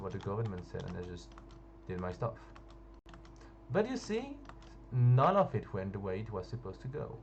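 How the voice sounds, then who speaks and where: A man talks at a fairly quick pace, with audible room echo around him. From France. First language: French. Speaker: gaming youtuber. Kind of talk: casual storytelling over gameplay. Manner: halting, hesitant.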